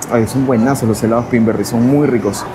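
The speech runs at a fairly quick pace against noticeable background noise. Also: man. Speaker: travel vlogger. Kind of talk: casual vlog chat. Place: shop. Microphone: lapel.

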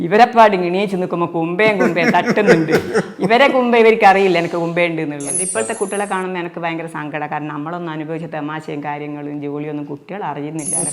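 A woman's fairly low voice with ordinary pitch variation, audible room echo and music in the background. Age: 60s. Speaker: actress and social media video creator. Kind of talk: interview.

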